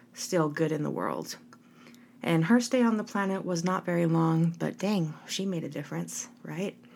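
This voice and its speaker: A woman speaks in a normal speaking voice, her pitch fairly low. Her pace is moderate, with ordinary pitch variation. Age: 30s. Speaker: podcast host. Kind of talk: solo podcast monologue. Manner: warm, upbeat.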